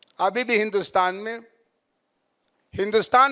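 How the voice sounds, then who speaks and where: This is a man speaking. His pitch is high. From Bhojpuri-speaking north India. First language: Bhojpuri (speaking Hindi). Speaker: professor. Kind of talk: lecture.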